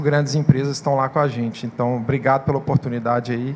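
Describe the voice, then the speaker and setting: Noticeable background noise surrounds a man's fairly high voice. He talks at a fairly quick pace with monotone, flat intonation. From Minas Gerais, Brazil. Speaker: open innovation manager at startup hub. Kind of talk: conference panel talk.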